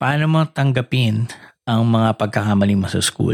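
The voice is a plain, everyday voice with ordinary pitch variation. It moves at a moderate pace, with a dry, close sound and no echo. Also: man. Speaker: podcast host. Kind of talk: casual chat.

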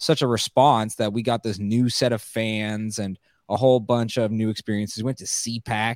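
A man with a normal speaking voice talks at a moderate pace and medium pitch, the sound dry and close with no echo on a very clean recording with a silent background. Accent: American. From California. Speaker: comedian and documentary filmmaker. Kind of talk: casual interview chat.

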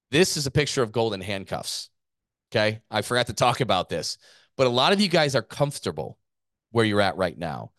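A man's fairly quick, lively-toned speech with vocal fry, dry and close with no echo, over a quiet background. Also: medium pitch for a man. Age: 40s. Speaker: gym owner and business coach podcast host. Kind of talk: business podcast presentation.

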